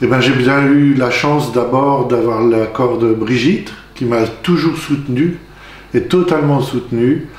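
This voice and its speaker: At a fairly slow pace and medium pitch, a man speaks with ordinary pitch variation and very even loudness, amid noticeable background noise and audible room echo. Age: 60s. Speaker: deacon candidate, retired farmer. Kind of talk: testimony. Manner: halting.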